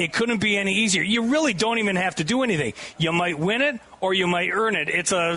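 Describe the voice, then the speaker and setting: Over noticeable background noise, a raised, projected voice talks very fast in an animated tone at a very even loudness. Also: man, high pitch for a man, ordinary pitch variation. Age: 70s. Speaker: radio host. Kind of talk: live radio broadcast. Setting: outdoor booth at state fair with crowd.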